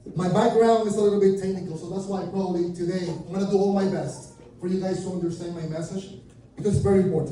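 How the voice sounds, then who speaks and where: A speaker with a Venezuelan accent keeps fairly even intonation. Light background noise and audible room echo are present. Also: man. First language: Spanish. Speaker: junk removal business speaker; presenter. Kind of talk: conference talk; presentation talk. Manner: halting. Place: meeting room.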